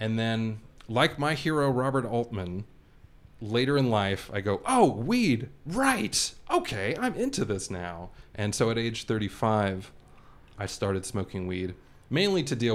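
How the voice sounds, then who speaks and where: A man speaks in a plain, everyday voice at a fairly slow pace, with medium pitch and ordinary pitch variation. The recording is very clean with a silent background. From Los Angeles. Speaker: video archivist. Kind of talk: interview conversation.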